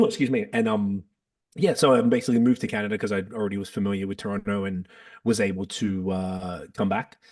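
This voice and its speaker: Speaking at a very fast pace, this man has an Australian accent. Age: 40s. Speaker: podcast host and rapper. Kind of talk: casual chat.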